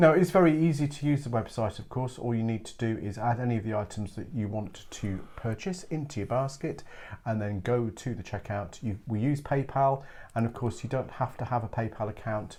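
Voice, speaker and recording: With an English accent, the voice is somewhat breathy with a dark, mellow tone, ordinary pitch variation and a fairly quick pace. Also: man. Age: 60s. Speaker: craft download seller, co-host. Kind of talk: casual chat.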